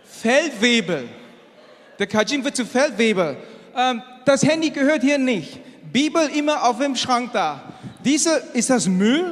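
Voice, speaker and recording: Lively intonation carries through a fairly slow delivery full of long, frequent pauses, with noticeable background noise. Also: man, extremely high pitch for a man. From Asia. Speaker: engineer and church speaker. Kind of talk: sermon.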